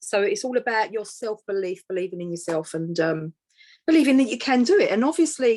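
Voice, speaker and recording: Lively in her intonation, a woman with an East London accent speaks at a fairly high pitch. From East End of London. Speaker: author and empowerment coach. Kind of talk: interview conversation.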